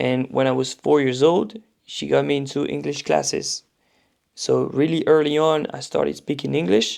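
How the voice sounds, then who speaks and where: At a moderate pace, a man speaks in a slight French accent. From France. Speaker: powerlifting commentator and coach. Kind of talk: casual interview chat. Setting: podcast recording.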